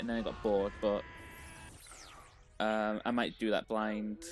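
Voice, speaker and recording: Moderate pace over music in the background. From UK. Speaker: video game streamer. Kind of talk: live game stream chat. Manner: hesitant, with self-corrections.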